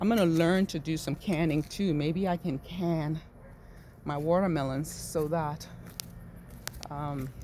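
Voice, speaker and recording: Soft-spoken, a woman with a very deep, low pitch talks at a fairly slow pace. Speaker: home gardener vlogger. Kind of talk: casual garden vlog. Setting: outdoors in garden. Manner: soft, low near plants.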